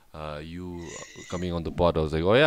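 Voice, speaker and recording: A man's very deep, low voice at a fairly quick pace, dry and echo-free, over noticeable background noise. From Bhutan. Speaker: podcast co-host. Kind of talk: casual chat. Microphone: video call.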